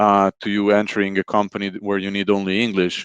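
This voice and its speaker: Intonation stays monotone and flat. Behind it, the background is quiet. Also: man, dry, close sound with no echo. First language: a Slavic language. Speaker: project manager. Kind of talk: interview.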